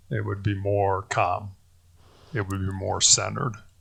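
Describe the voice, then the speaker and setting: Against a quiet background, a man with an American accent speaks at a fairly low pitch in a somewhat breathy voice. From US Midwest, Chicago. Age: 60s. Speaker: cancer survivor, former college basketball player. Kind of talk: interview. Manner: halting, many false starts.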